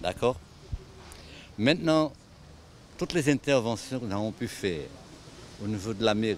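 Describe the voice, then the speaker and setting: With lively intonation, a man at medium pitch speaks at a fairly slow pace. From Martinique, Le Carbet. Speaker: local resident. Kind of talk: documentary interview. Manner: emphatic.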